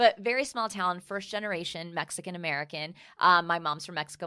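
A woman talks at a very fast pace in a bright, sharp tone. Her loudness swings widely, while her pitch varies in an ordinary way. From Texas, Fort Worth. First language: Spanish. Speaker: style expert and TV correspondent. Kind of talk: casual interview chat.

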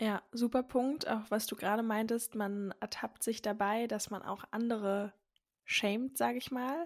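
Recorded very cleanly over a silent background, a woman with a normal speaking voice talks fairly high and fairly slowly with fairly even intonation. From Berlin. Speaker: podcast host, mother. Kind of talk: casual chat.

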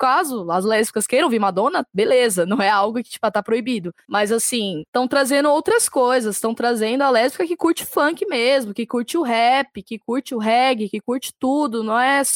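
A woman's high voice with lively intonation, a moderate pace and hardly any pauses, in a dry, close sound with no echo. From São Paulo city, Brazil. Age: 20s. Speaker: designer and musician. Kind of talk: casual chat.

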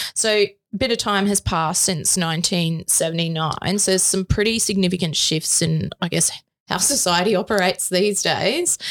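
Speaking at a fairly slow pace with an Australian accent, a woman uses a medium pitch, ordinary pitch variation and very even loudness. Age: 30s. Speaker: tax lawyer podcast co-host. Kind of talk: educational chat.

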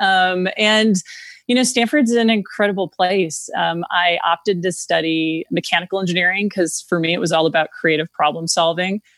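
A woman with an American accent and an unremarkable speaking voice talks at medium pitch and a moderate pace, with ordinary pitch variation, very even loudness, and a dry, close sound with no echo. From rural Minnesota, US Midwest. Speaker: venture capitalist. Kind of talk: interview.

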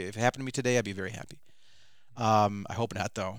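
Talking at a very fast pace in an animated tone, a man with an American accent comes through on a very clean recording with a silent background. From Michigan, Detroit suburbs. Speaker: filmmaker. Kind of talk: interview.

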